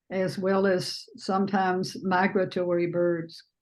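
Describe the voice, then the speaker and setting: Speech comes at a very slow pace. It carries a Southern US accent. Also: woman. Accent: Southern US accent, still present. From US South, Alabama. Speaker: artist. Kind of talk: panel Q&A discussion. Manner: halting, many fillers.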